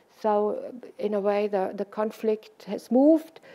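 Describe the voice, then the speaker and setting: A woman with a strong German accent, fairly high in pitch yet dark and mellow in tone, at a fairly slow pace. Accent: heavy German. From Germany. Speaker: social scientist, invited lecturer. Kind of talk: Q&A after lecture. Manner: halting, many repetitions.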